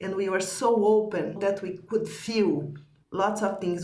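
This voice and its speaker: A woman with a non-native accent speaks at a fairly slow pace and medium pitch. Audible room echo surrounds her voice. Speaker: spiritual teacher. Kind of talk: teaching conversation.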